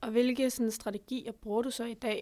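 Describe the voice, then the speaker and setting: A woman talks at a fairly quick pace. Her intonation is flat and monotone. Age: young. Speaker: podcast host. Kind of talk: interview.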